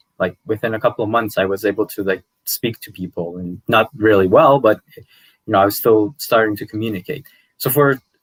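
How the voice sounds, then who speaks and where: A man with a Persian accent at a fairly low pitch and fairly quick pace, ordinary pitch variation, in a dry, close sound with no echo. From Iran, Tehran, then Canada from age 10. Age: 30s. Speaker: language youtuber. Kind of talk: podcast interview. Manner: hesitant, many fillers.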